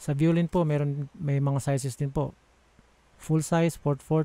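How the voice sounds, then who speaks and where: Very slowly and in a flat monotone, a man speaks with a dark, mellow tone. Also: dry sound with no echo. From Philippines. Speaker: audio software tutorial maker; audio software instructor. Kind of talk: tutorial. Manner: halting.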